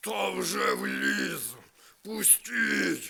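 A man's put-on character voice, growling and bellowing at a very deep, low pitch. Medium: read story.

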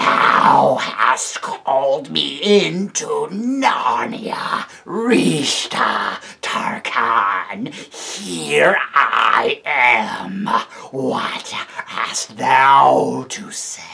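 Very slowly, a man delivers a croaky put-on character voice pitched fairly high. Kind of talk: archaic, formal. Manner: imperious.

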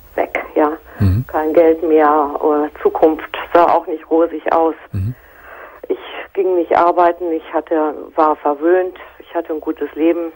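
A woman's fairly low, monotone, flat voice at a very slow pace with long, frequent pauses. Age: 50s. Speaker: caller. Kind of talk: personal phone-in conversation.

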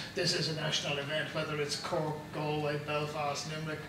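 Someone talks at a fairly quick pace amid noticeable background noise and audible room echo. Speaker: podcast host interviewer. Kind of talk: on-location interview. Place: hall.

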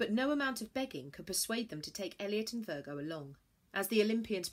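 Lively intonation over plain reading aloud.

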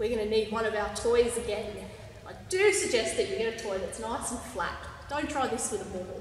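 With lively intonation and a fairly high pitch, a woman speaks amid audible room echo. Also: fairly quick pace.

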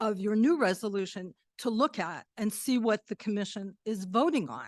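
Her voice fairly high in pitch, a woman speaks with lively intonation in a dry, close sound with no echo over a quiet background. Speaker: public commenter at community meeting. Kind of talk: public testimony. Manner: forceful.

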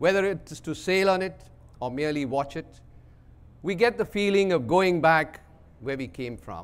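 A man is talking. His pace is moderate. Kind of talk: keynote speech. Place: hall. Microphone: podium.

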